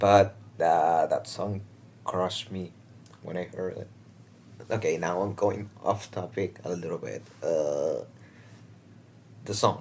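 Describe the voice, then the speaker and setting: A man with a non-native accent speaks at a very slow pace, with long, frequent pauses. His loudness swings widely. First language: not English. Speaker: reaction video creator. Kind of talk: casual reaction commentary. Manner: hesitant, many fillers.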